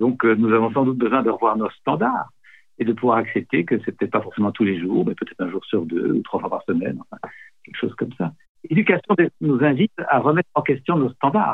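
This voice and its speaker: His pitch swinging very widely, a man at medium pitch talks at a fairly quick pace. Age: 60s. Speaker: nonviolent communication trainer. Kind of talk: interview.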